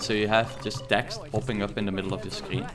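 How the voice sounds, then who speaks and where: Over music in the background, a man with a strong Dutch accent talks at a fairly quick pace and fairly low pitch. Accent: thick Dutch. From Netherlands. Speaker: gaming streamer. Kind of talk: live gameplay stream chat. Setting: live stream. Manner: many filler words (uh, um).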